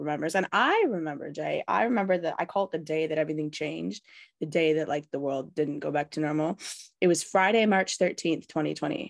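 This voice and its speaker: A woman with a Canadian accent talks at a very fast pace in a very deep, low pitch, using ordinary pitch variation. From Canada. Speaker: founder of a homeschooling and tutoring company, former teacher. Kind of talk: podcast interview.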